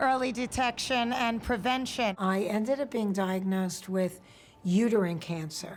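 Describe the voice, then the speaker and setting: A woman with a New York accent at a moderate pace, with ordinary pitch variation and music in the background. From Queens, New York. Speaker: actress, comedienne. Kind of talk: interview answer.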